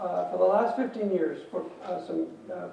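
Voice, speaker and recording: A man talks at a moderate pace. The room echo is audible and the background noise noticeable. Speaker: physician speaker on pain medicine. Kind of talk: lecture. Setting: stage with audience.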